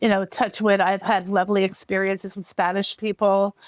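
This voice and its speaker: In a New York accent, a woman speaks at a medium pitch with a dry, close sound and no echo. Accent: heavy New York. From New York, USA. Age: 50s. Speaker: writer, former ESL teacher. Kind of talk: podcast interview answer. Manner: casual, conversational.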